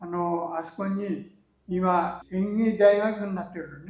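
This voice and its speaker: A man's high-pitched voice at a very slow pace. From Japan, Fukushima. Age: 80s+. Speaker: peach farmer. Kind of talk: interview answer.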